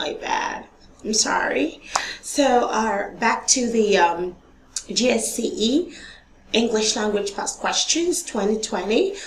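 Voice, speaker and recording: Very slow, fairly high-pitched woman's voice with lively intonation, over noticeable background noise. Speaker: online tutor. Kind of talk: tutorial.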